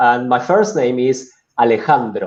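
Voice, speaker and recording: With a Latin American accent, a man speaks at a fairly slow pace. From Argentina, Buenos Aires. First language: Spanish. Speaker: business executive. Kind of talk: interview.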